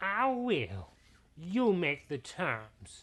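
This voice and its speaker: In a put-on character voice, a man speaks with a high pitch and very wide pitch swings. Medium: read story. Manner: relaxed, self-satisfied.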